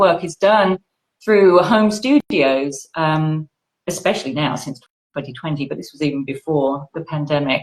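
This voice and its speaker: A woman's very deep, low voice in a British accent, at a moderate pace with ordinary pitch variation. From Britain. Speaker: audiobook narrator. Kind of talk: interview.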